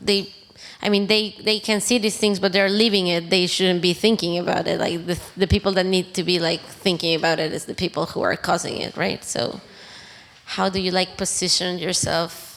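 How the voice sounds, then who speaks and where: A woman speaks at medium pitch with a non-native accent. Her intonation is fairly even and her pace moderate. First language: not English. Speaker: audience member asking a question. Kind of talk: audience Q&A question. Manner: halting, many fillers.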